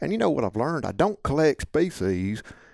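A man with a Mississippi accent. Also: dry, close sound with no echo. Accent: Southern US (Mississippi). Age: 50s. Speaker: waterfowl hunting guide. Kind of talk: casual chat.

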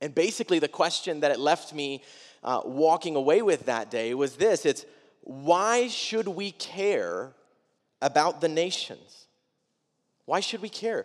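This man has an unremarkable speaking voice, fairly high in pitch, with an American accent. His intonation is lively and his pace fairly slow. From Wisconsin, US Midwest. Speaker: pastor. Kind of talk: sermon. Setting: church.

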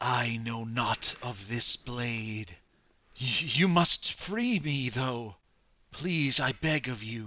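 A man uses a put-on character voice at a medium pitch, speaking at a very slow pace. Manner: pleading, urgent.

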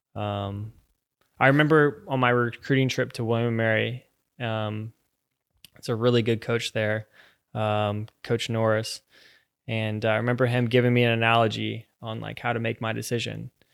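A man with an American accent speaks at a medium pitch and a moderate pace, leaving long, frequent pauses. His intonation is monotone and flat, in a very clean recording with a silent background. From Virginia, US. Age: 20s. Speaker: professional footballer. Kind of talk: casual chat.

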